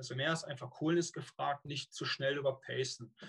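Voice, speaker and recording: This man's voice sits fairly high in pitch. His intonation stays fairly even. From Rhineland, Cologne. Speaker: long-distance swimmer and swim coach. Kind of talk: interview. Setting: video call.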